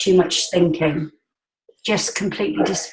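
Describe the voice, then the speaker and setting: A woman's medium-pitched voice comes across somewhat breathy. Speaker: support group participant. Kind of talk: casual group call chat. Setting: group call.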